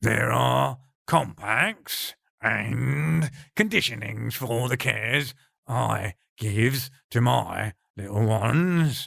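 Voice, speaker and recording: A man's put-on character voice, fairly low in pitch and very slow in pace. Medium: read story. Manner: florid, archaic word-play, affectionate.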